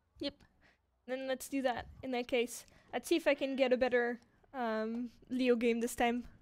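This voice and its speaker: With a slight French accent, the speaker uses monotone, flat intonation at a moderate pace, broken by long, frequent pauses. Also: woman, high pitch for a woman. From France, Paris; teenage years in Japan. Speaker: game community streamer. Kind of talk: live game stream chat.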